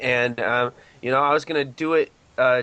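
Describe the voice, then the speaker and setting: Fairly high in pitch, a man with a Southern US accent speaks with fairly even intonation. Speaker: rock band singer. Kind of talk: interview.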